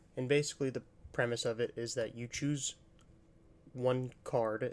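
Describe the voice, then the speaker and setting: Soft-spoken and monotone, a man talks with flat intonation. His pitch is medium and his pace moderate. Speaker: card game content creator. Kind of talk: casual deck overview tutorial. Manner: relaxed, hesitant with fillers.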